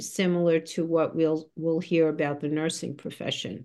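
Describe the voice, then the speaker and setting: Against a quiet background, a woman with an ordinary speaking voice talks at a moderate pace and a fairly low pitch. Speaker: university president, podcast host. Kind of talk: interview.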